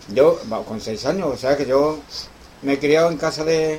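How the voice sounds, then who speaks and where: A man with a fairly high pitch talks at a fairly slow pace and fairly even intonation amid noticeable background noise. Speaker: guitar teacher. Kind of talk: interview.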